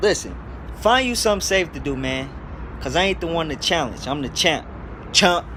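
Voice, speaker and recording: A man at a moderate pace with long, frequent pauses, amid noticeable background noise and audible room echo. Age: young. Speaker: boxer. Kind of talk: trash talk promo. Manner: animated.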